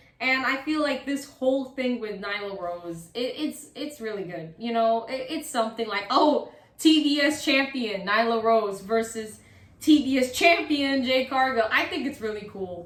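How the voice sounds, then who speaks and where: A woman speaks at a moderate pace in a high pitch with lively intonation and an animated tone. Audible room echo surrounds her voice. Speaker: wrestling YouTuber. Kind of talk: casual commentary monologue.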